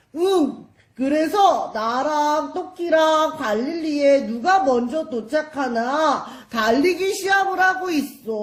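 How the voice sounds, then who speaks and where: In a cartoonish character voice, the speaker uses a high pitch and a fairly slow pace with hardly any pauses. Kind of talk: children's church puppet show. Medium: puppet.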